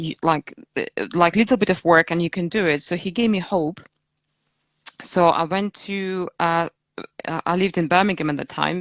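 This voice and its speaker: Heard in a dry, close sound with no echo, a woman with a Belarusian accent speaks at a fairly low pitch with fairly even intonation. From Belarus, Minsk. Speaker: fitness coach. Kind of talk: interview. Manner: hesitant, many fillers.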